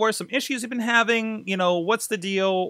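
In a raised, projected voice with a bright, sharp tone, the speaker goes at a fairly quick pace, recorded dry with no echo against a quiet background. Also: man. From Pittsburgh, US. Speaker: podcaster; podcast host. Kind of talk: casual vlog monologue. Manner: hesitant, many fillers. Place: home room. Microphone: studio mic.

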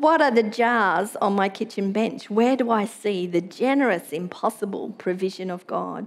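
A woman speaks with an Australian accent, barely pausing at all. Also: ordinary pitch variation, moderate pace. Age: middle-aged. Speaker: pastor. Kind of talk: sermon. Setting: church.

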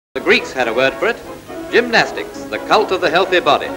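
Speech at a very fast pace runs over clear music in the background. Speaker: newsreel narrator. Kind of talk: newsreel narration. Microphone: old recording.

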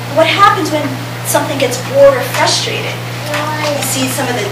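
A woman's voice carries audible room echo. Loud background noise is present. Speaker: presenter. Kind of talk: lecture. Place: hall. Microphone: camera far.

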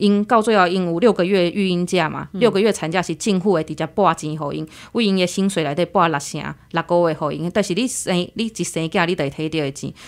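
Speaking at a fairly quick pace, a woman uses a normal speaking voice that sits fairly low in pitch and shows ordinary pitch variation. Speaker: logistics worker abroad. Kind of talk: interview.

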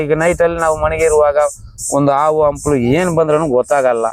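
Background noise is easy to hear. Through it, a man speaks. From Bhadravati, Shivamogga district, Karnataka. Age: 40s. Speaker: river fisherman. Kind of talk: interview.

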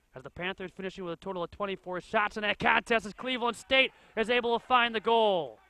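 Very fast and raised to project, a man's high-pitched voice comes through with a dry, close sound and no echo. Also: ordinary pitch variation. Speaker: soccer play-by-play commentator. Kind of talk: live sports commentary over match highlights. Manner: clipped, urgent calls of names and shots.

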